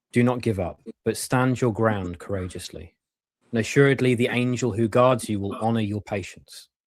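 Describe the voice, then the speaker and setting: A man with a fairly low pitch talks with a British accent. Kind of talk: casual chat.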